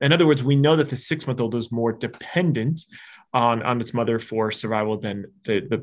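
Against a quiet background, a man with an American accent speaks at a medium pitch in a plain, everyday voice. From Arizona. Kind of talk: interview.

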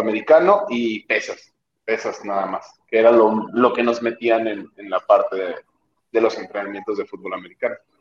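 A man speaking at a moderate pace. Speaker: CrossFit athlete. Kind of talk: casual chat.

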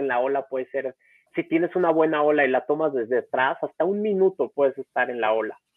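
A normal speaking voice with ordinary pitch variation, moderately paced. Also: man. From Mexico, Acapulco. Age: 30s. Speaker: foundation founder, surfer with spinal cord injury. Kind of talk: interview, personal story. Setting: live-streamed podcast recording.

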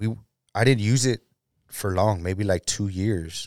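A man with an American accent speaks at a fairly slow pace and fairly low pitch, with ordinary pitch variation. The recording is very clean, with a silent background and a dry, close sound with no echo. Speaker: ex-convict sharing his testimony. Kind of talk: testimony.

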